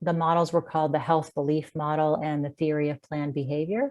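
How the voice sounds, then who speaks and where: A woman speaks with an American accent. Her pitch is fairly low. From US, Washington D.C. area. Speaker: clinical psychologist. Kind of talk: interview.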